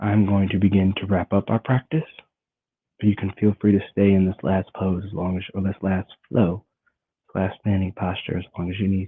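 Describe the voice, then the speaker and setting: A soft-spoken man with a fairly low pitch, a calm tone, monotone, flat intonation and a moderate pace. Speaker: qigong and meditation teacher. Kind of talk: guided meditation. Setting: live stream.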